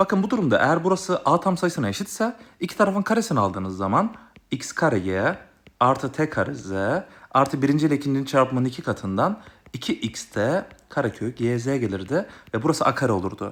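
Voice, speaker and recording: A man's fairly quick speech swings very widely in pitch. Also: fairly high pitch for a man. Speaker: math tutor. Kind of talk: tutorial. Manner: fast.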